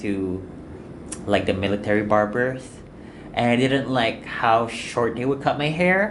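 A man's medium-pitched voice with lively intonation and a moderate pace, plus noticeable background noise and audible room echo. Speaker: podcast co-host. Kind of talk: casual chat.

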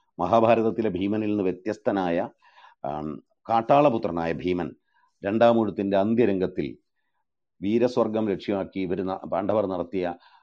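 A man with an unremarkable speaking voice speaks at a fairly low pitch with ordinary pitch variation. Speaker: literary critic leading a book discussion. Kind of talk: lecture. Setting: online audio room.

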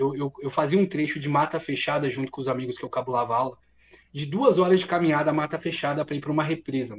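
A man talks at a very fast pace. His voice is somewhat breathy and fairly high in pitch. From Brazil, São Bernardo do Campo (São Paulo ABC region). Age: 30s. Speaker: streamer and content creator. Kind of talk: casual interview chat.

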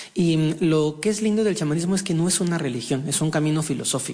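A man talks fairly quickly, his pitch moving in an ordinary way, with noticeable noise in the background. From Mexico. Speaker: shaman and spiritual healer. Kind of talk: interview. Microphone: echo.

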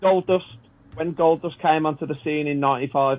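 A man with a normal speaking voice talks in a fairly high pitch with fairly even intonation. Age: 30s. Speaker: former wrestling referee. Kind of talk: casual chat.

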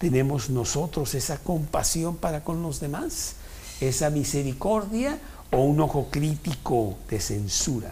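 Noticeable background noise sits behind a man with a fairly high pitch. He speaks fairly slowly with lively intonation. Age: 70s. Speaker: Bible study teacher. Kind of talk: Bible study talk.

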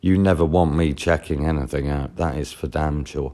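With a Norfolk accent, a man speaks in a very deep, low pitch with ordinary pitch variation on a very clean recording with a silent background. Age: 40s. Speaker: podcaster. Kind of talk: casual monologue storytelling.

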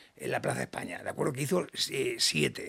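Noticeable background noise runs under this man's voice. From Catalonia, Badalona. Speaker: business founder and CEO. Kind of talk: interview. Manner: animated.

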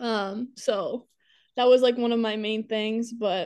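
With an American accent, a woman speaks fairly slowly at a fairly high pitch in a monotone, flat intonation against a quiet background. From Waverly, Iowa, US. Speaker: college basketball player. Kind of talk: interview.

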